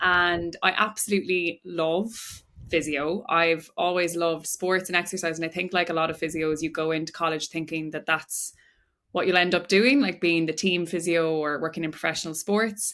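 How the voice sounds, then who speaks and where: On a very clean recording with a silent background, a woman with an Irish accent speaks at a moderate pace in a fairly low pitch, her tone bright and sharp and her intonation fairly even. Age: 20s. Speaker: physiotherapist and breathwork coach. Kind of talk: podcast interview. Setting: studio.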